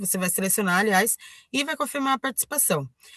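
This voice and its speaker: With a quiet background and a dry, close sound with no echo, a woman speaks at medium pitch in a bright, sharp tone with lively intonation. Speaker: online trainer. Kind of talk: tutorial. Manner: halting, many fillers and self-corrections.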